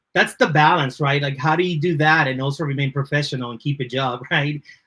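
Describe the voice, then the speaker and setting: A man with a Spanish accent speaks at a fairly high pitch. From Dominican Republic, then Lawrence, Massachusetts. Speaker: creative director. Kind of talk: podcast interview.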